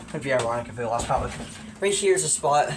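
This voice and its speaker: Speaking at a very fast pace with lively intonation, a man is heard amid audible room echo and noticeable background noise. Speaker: hobbyist collector showing his collection. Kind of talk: casual show-and-tell tutorial. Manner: casual, hesitant with fillers; quiet, lowered voice.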